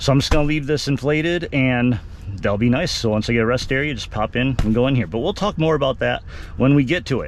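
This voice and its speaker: Delivery is very fast. An American accent is heard. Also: man, medium pitch for a man, ordinary pitch variation. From Texas. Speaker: automotive and outdoors YouTuber. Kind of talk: product review vlog. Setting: inside a truck cab. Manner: casual, conversational.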